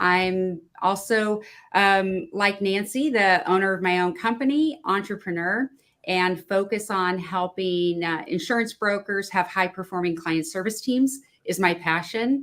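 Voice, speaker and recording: A woman with a plain, everyday voice speaks at a medium pitch with ordinary variation. Her pace is fairly slow on a very clean recording with a silent background. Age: 50s. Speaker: business owner. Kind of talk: video panel discussion.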